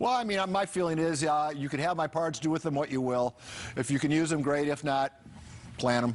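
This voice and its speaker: A man speaks at a fairly quick pace in a plain, everyday voice, fairly high-pitched, with ordinary pitch variation and very even loudness. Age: 60s. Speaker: TV news anchor. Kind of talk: live TV interview.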